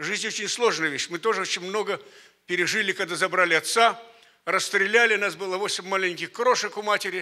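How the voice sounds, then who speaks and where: Against a quiet background, a man projects a raised voice that is high-pitched, bright and sharp, at a fairly quick pace with ordinary pitch variation. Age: 80s+. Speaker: elderly church member. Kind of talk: testimony. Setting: church conference with audience. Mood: earnest, reflective, emotional. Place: church. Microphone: handheld.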